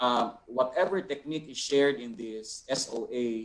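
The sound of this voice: A man speaks at medium pitch and a fairly slow pace. His pitch varies in an ordinary way.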